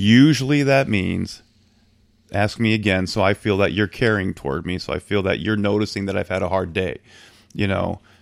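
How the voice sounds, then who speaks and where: This man has a normal speaking voice with a fairly low pitch and ordinary pitch variation at a moderate pace. The recording is very clean with a silent background. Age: 40s. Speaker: podcast guest. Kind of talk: casual chat.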